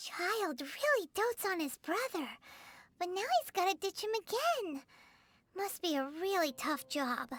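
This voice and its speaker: An extremely high-pitched, put-on character voice moves at a moderate pace in a very clean recording with a silent background. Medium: video game. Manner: chatty, bright.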